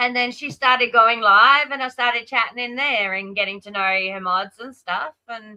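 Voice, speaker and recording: A woman talks in an Australian accent with ordinary pitch variation. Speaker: live streamer. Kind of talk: casual chat. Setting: live stream.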